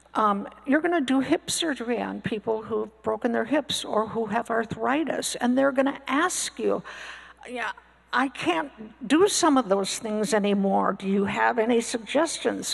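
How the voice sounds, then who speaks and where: Amid noticeable background noise, a woman with a fairly high pitch speaks fairly slowly, with ordinary pitch variation. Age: 70s. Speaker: panelist, retired physician assistant. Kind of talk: panel discussion. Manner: halting, many fillers.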